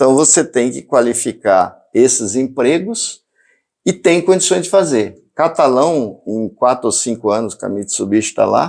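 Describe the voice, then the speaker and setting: Over a very clean recording with a silent background, a man with an unremarkable speaking voice and a medium pitch talks at a fairly slow pace with lively intonation. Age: 60s. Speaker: mayoral candidate. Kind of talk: interview.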